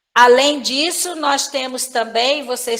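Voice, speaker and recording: In a high pitch, a woman speaks at a very slow pace. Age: 60s. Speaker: professor. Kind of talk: lecture. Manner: filler-heavy, frequent né.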